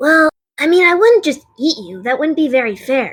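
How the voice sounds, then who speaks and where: A put-on character voice rings out at a high pitch. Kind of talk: audio drama dialogue.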